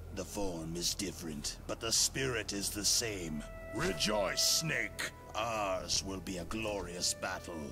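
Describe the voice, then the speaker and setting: Over loud music in the background, a man does a put-on character voice, fairly low in pitch and fairly slow in pace. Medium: machinima. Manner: measured, solemn.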